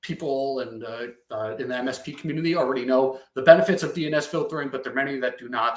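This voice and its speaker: Talking at a very fast pace, a man with a Long Island accent speaks at a medium pitch. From Long Island, New York. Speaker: software company partner success manager. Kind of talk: product demo presentation. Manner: halting, many fillers.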